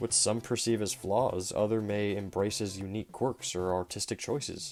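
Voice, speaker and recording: The recording is very clean, with a silent background. A man speaks at a fairly quick pace and a fairly low pitch. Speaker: movie review youtuber. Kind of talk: scripted narration. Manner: quiet; reading from a script.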